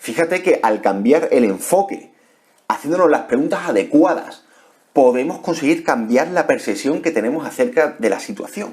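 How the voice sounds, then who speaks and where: A man talks at a high pitch and a moderate pace. His voice moves in very wide pitch swings. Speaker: personal development youtuber. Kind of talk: motivational talk to camera. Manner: halting, many repetitions and fillers.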